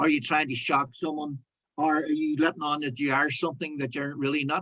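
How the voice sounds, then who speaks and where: A man's bright, sharp tone in a Northern Irish accent, fairly high in pitch, monotone and flat, at a fairly quick pace. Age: 60s. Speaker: broadcaster. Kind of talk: casual chat. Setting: video call.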